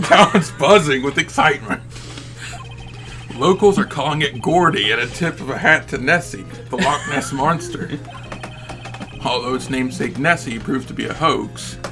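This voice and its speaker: Over clear background music, a man puts on a croaky, guttural character voice at a medium pitch and a moderate pace. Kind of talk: TV news reading. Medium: fan dub.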